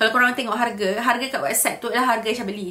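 The speaker is a woman. She has a bright, sharp tone. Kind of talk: casual vlog chat. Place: home room.

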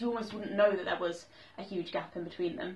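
A woman is speaking. Her pitch variation is ordinary. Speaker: book vlogger. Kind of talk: casual vlog chat. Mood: enthusiastic, light laughter. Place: home room. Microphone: camera far.

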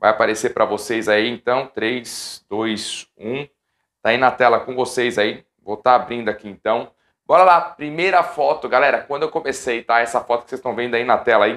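Against a quiet background, a man of medium pitch talks at a moderate pace with ordinary pitch variation. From São Paulo city, Brazil; Brazil. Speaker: professional futsal goalkeeper and youtuber; youtuber. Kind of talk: casual vlog talk to viewers. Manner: animated. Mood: nostalgic, amused. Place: home room. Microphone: lapel.

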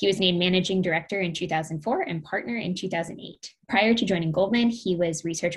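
With a normal speaking voice, this woman speaks at a fairly low pitch and ordinary pitch variation over a quiet background. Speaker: panel moderator. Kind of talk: moderator introduction. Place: home room. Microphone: webcam.

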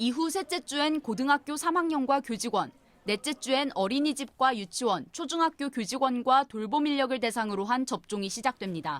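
A woman speaks at a moderate pace in a high voice with lively intonation. The sound is dry and close with no echo. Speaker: news reporter. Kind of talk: news report. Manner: formal.

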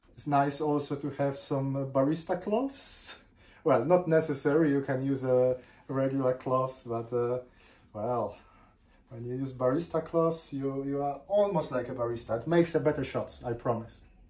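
The voice has a dark, mellow tone, a moderate pace and ordinary pitch variation. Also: man. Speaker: home barista vlogger. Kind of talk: tutorial. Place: kitchen. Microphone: camera far.

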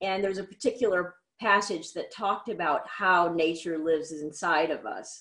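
A woman speaks at a moderate pace in a medium pitch. The background is quiet. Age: 50s. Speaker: artist and musician; interview guest. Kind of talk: interview. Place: home room. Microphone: video call.

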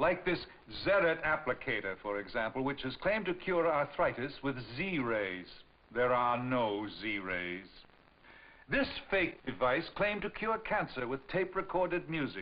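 With vocal fry and very wide pitch swings, a man speaks fairly slowly at a fairly high pitch. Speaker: PSA presenter. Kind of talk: public service announcement. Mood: serious, warning. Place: studio. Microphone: old recording.

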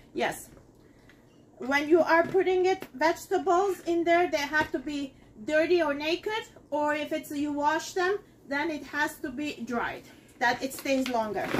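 A fairly slow pace over light background noise. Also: woman, high pitch for a woman, ordinary pitch variation. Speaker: home cooking demonstrator. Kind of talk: tutorial. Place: kitchen. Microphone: camera far.

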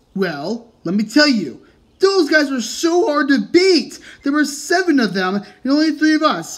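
The voice sits at a high pitch and moves at a moderate pace. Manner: angry, scolding.

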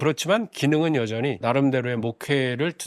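An ordinary speaking voice moves at a fairly quick pace in a very clean recording with a silent background. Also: man. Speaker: Mennonite pastor. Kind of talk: lecture-style monologue.

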